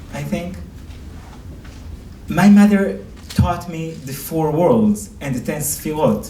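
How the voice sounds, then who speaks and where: Speaking with an Israeli accent, a man talks at a very slow pace in a fairly high pitch, with audible room echo around him. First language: Hebrew. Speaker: rabbi and lecturer. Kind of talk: lecture.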